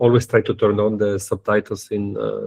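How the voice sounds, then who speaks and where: Somewhat breathy and fairly low-pitched, a man speaks with an Italian accent in a dark, mellow tone. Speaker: university professor. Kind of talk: lecture. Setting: video call. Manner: fast; halting, many fillers and repetitions.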